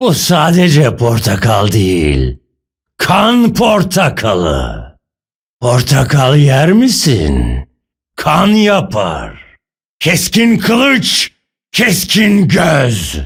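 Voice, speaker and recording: A man puts on a raspy character voice at a fairly high pitch. He talks at a very slow pace. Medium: dub. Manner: menacing, gruff.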